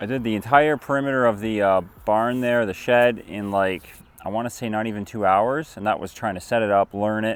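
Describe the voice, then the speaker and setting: A man keeps ordinary pitch variation while talking at a moderate pace. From Canada. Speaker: homesteading and how-to youtuber. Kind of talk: casual product review to camera. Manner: hushed; animated.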